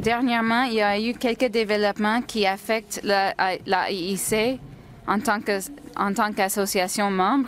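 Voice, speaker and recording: A woman with an English accent speaks at a fairly slow pace and fairly high pitch, her intonation fairly even and her loudness very even, over noticeable background noise. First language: English (speaking French). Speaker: nursing association president. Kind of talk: formal report. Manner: halting.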